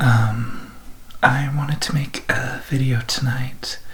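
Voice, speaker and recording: A soft-spoken man talks at a medium pitch. Noticeable background noise runs beneath him. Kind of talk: ASMR educational talk on history and civics.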